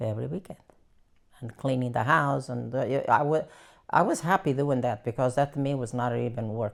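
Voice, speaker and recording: A woman speaks with vocal fry at a very deep, low pitch. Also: ordinary pitch variation, moderate pace. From Portugal. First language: Portuguese. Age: 80s+. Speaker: elderly immigrant interviewee. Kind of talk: life story interview. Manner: halting.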